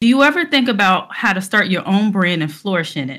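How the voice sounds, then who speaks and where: Bright, sharp female speech at a fairly quick pace, lively in intonation, over a quiet background. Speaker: panel host. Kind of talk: show introduction. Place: home room. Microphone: headset.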